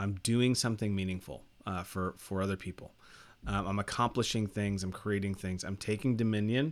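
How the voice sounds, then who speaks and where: On a very clean recording with a silent background, a man speaks at a fairly quick pace in a fairly low pitch with fairly even intonation. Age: 40s. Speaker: podcast host. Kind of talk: solo monologue podcast. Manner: halting, many fillers and repetitions.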